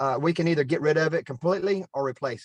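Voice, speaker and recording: A man's fairly high voice at a very fast pace, with ordinary pitch variation. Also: dry, close sound with no echo. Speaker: city parks staff member. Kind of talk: public meeting discussion.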